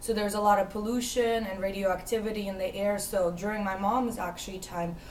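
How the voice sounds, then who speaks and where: A woman's medium-pitched, monotone, flat delivery at a fairly quick pace, with audible room echo and noticeable background noise. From US (moved from Ukraine at age 6). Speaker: interviewee. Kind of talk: interview. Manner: hesitant, many fillers.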